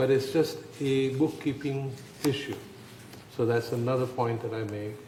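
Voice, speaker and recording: Against noticeable background noise and audible room echo, a man talks at medium pitch with fairly even intonation. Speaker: board director. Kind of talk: board meeting discussion. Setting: boardroom meeting, broadcast.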